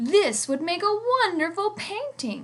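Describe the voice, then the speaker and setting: In a put-on character voice, a woman speaks at a fairly slow pace with extremely high pitch and very wide pitch swings. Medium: read story.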